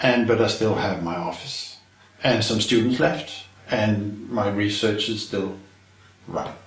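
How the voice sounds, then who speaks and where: A man with a Danish accent, fairly low in pitch and fairly slow, with fairly even intonation and long, frequent pauses, amid audible room echo and noticeable background noise. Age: 60s. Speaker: retired chemistry professor. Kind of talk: interview. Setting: filmed interview.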